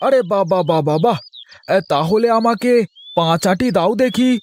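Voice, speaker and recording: This is a cartoonish character voice from a man, pitched high. He speaks at a moderate pace. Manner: excitable.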